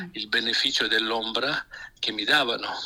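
A man speaks over noticeable background noise. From Emilia-Romagna, Italy. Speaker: pastor. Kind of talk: radio interview on Bible topics.

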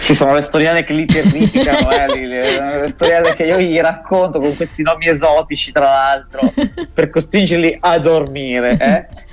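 A man talks at a fairly slow pace over noticeable background noise. He has a fairly high pitch that varies in an ordinary way. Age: 40s. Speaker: pastor. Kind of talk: radio interview with storytelling reflection. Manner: hesitant, with fillers.

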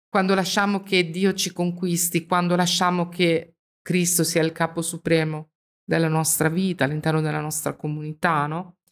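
A woman's fairly low voice, monotone and flat in intonation, at a moderate pace. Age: 50s. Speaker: Bible study host. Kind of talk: religious discussion.

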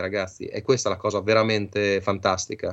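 A man speaks at a fairly quick pace with a slight Bolognese accent. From Bologna, northern Italy. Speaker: electronics engineer and radio amateur. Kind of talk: radio interview.

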